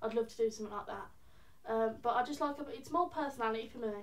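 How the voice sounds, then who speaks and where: This woman, in a Birmingham accent, speaks at a fairly quick pace with fairly high pitch. Her intonation is fairly even. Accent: Birmingham (Brummie) English. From England, Birmingham. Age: young. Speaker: singer-songwriter. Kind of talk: casual interview. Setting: college premises. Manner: hesitant, many fillers.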